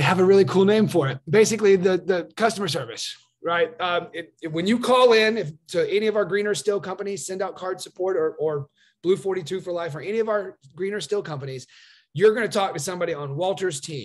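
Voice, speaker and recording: Speaking at a very fast pace, a man uses a high pitch. His pitch variation is ordinary. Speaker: card-sending business distributor vlogger. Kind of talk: sales pitch vlog. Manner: animated.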